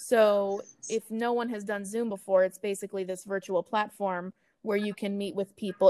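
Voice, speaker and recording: A woman at a medium pitch, with a Midwestern American accent. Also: dry, close sound with no echo. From US Midwest, Kansas City. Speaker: animal rescue events and marketing coordinator. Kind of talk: interview. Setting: remote recording.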